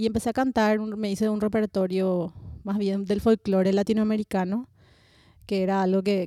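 Her dark, mellow tone comes in a dry, close sound with no echo. The woman speaks at a fairly quick pace with a medium pitch and monotone, flat intonation. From Paraguay, Asunción. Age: 30s. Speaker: singer-songwriter. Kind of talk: roundtable conversation. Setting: cultural centre recording.

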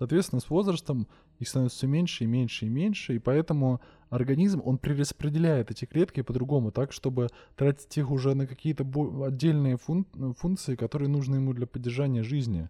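Dark and mellow in tone, a somewhat breathy man speaks at medium pitch and a fairly quick pace, the sound dry and close with no echo. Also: ordinary pitch variation. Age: 20s. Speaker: podcast host. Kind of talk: solo monologue. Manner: casual.

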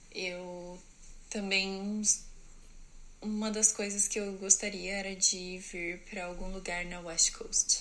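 Against noticeable background noise, a woman at medium pitch speaks very slowly in a monotone, flat way, with long, frequent pauses and big swings in loudness. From Brazil, interior of São Paulo state. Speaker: au pair and student. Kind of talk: personal story monologue.

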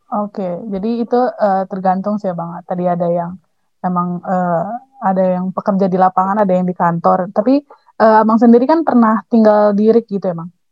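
Speaking at a fairly quick pace, a woman uses an ordinary speaking voice at a medium pitch with ordinary pitch variation. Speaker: student podcast host. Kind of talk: casual interview chat.

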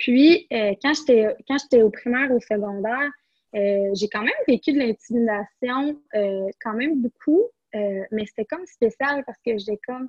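Her pitch is high for a woman, with ordinary variation. She speaks at a fairly slow pace. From Quebec, Rimouski area. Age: 20s. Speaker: entrepreneur. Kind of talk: interview. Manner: halting, many repetitions and fillers.

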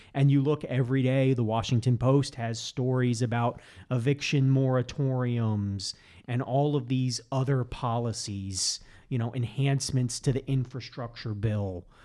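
A man with a plain, everyday voice speaks at a medium pitch and moderate pace with fairly even intonation in a very clean recording over a silent background. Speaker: economics professor. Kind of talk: casual interview chat. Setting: studio.

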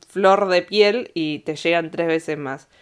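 Fairly slow delivery from a woman, her pitch varying in an ordinary way. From Argentina (Bariloche). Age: 20s. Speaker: podcaster. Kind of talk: casual monologue storytelling. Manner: animated.

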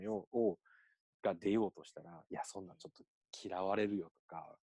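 At a moderate pace, a man speaks with a dark, mellow tone and fairly low pitch. The sound is dry and close with no echo. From Osaka, Japan. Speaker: education professional and speaker. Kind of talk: casual chat.

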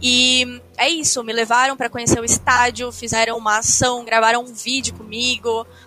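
Through noticeable background noise, a woman speaks at a moderate pace with hardly any pauses, her high voice flat and monotone but with big swings in loudness. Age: 20s. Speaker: professional esports player. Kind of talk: casual chat.

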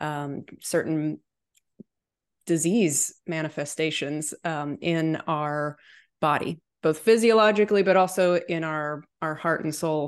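A woman with a very deep, low pitch, at a fairly slow pace, against a quiet background. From Chattanooga, Tennessee. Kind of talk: casual interview chat.

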